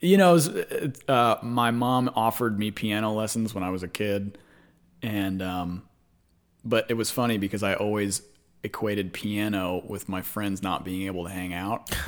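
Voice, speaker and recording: A man with an American accent uses a plain, everyday voice, fairly low in pitch, at a moderate pace with fairly even intonation. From Dallas–Fort Worth, Texas. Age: 30s. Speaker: guitarist. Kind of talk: casual chat. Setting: home studio.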